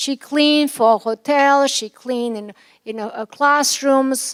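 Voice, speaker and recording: A woman with a Yugoslav accent speaks at a high pitch with ordinary pitch variation, the sound dry and close with no echo. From former Yugoslavia. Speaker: commencement speaker, physician. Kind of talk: commencement speech.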